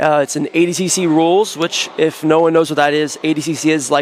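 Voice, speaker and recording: A man talks with an American accent and a fairly high pitch. His intonation is monotone and flat, over noticeable background noise. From United States. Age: 20s. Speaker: professional grappler. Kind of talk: interview.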